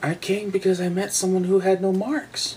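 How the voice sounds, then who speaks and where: Over clear background noise, a put-on character voice at middle pitch speaks at a moderate pace in a timid tone. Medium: read story. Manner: timid, unsure.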